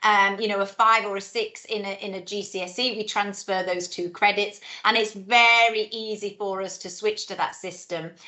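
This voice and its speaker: A woman at a fairly high pitch, moderate pace and fairly even intonation. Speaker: head of school. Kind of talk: informational webinar Q&A. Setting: video call webinar.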